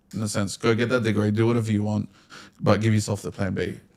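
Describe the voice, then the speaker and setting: Speaking at a very fast pace, a man with an Australian accent keeps a fairly low pitch and a monotone, flat intonation. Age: 20s. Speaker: podcast host. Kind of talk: casual chat.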